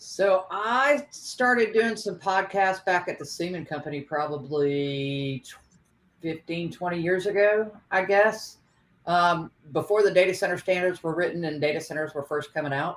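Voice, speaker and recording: A woman with an unremarkable speaking voice, fairly low pitch, lively intonation and big swings in loudness, at a moderate pace. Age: 60s. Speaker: data center podcaster. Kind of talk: casual panel discussion.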